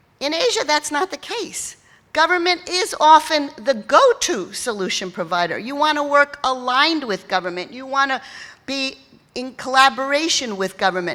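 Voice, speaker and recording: A woman's raised, projected voice with a New York accent, high-pitched and bright and sharp in tone, with very wide pitch swings and big swings in loudness. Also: moderate pace. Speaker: keynote speaker on philanthropy. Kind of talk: keynote speech. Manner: conversational, with fillers and false starts.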